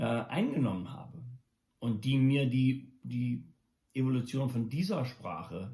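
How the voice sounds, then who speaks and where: Very slow, somewhat breathy delivery in a dark, mellow tone with ordinary pitch variation. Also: man, medium pitch for a man. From Germany until 14, then USA. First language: English and German from childhood (speaking German). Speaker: musician and daily video blogger. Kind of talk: casual monologue vlog. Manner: halting, many fillers and restarts.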